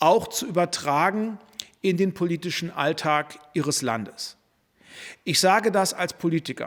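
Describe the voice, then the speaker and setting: At a fairly slow pace, a man speaks in a high pitch with ordinary pitch variation. Long, frequent pauses break up his speech. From Germany. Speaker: politician. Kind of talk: press statement. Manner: formal.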